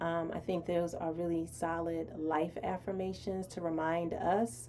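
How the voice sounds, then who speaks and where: This is a woman speaking. Her pitch is fairly low. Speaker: show host. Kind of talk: live stream talk with affirmations. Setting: live stream.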